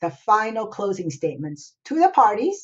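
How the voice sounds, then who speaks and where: Here is an unremarkable speaking voice from a woman, pitched fairly high. She keeps a moderate pace. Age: 60s. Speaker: escrow officer. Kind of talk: tutorial.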